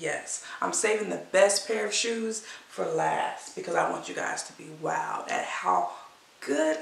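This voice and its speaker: A woman talks at a very slow pace. The room echo is audible, with light background noise. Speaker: thrift reseller. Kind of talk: casual vlog chat. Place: home room. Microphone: camera far.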